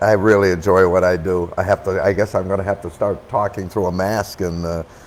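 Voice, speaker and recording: Noticeable background noise sits behind a man talking at a very deep, low pitch and a moderate pace in a monotone, flat intonation. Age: 70s. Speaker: wine educator. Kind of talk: casual chat.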